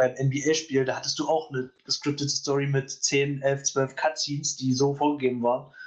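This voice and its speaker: The speaker keeps a moderate pace. The intonation stays flat and monotone. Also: man. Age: young. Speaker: gaming podcaster, student. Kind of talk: casual chat. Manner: hesitant, many fillers.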